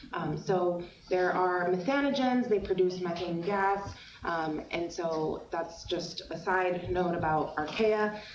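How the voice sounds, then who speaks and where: A woman's fairly low voice at a very slow pace, ordinary pitch variation, noticeable background noise and audible room echo. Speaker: university lecturer. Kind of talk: lecture. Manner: hesitant, many fillers.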